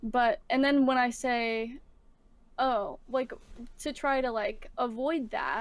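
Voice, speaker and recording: Loud and high-pitched, a woman speaks with fairly even intonation at a very slow pace with long, frequent pauses. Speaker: streamer and musician. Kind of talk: casual interview chat. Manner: loud online.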